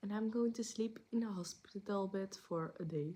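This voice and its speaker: Here a woman speaks at a fairly slow pace. Her pitch is medium. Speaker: vlogger. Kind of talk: casual vlog update. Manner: halting, searching for words.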